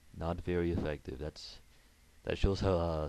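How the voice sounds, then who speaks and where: Slow-ish and flat, a man speaks in a very deep, low pitch with a dark, mellow tone at a fairly slow pace and monotone intonation. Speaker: gaming commentator. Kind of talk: game commentary narration.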